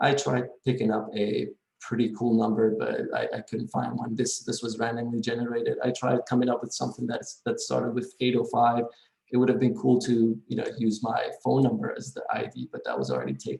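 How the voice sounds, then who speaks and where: A man talks at a fairly quick pace. He speaks with a non-native accent. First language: not English. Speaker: college instructor. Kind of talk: recorded course introduction. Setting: recording from home. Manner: hesitant, many fillers.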